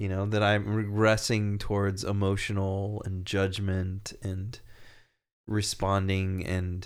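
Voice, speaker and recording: Audible room echo surrounds a man with a very deep, low pitch. He speaks very slowly in a monotone, flat intonation. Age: 40s. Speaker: former biology teacher. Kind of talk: casual chat.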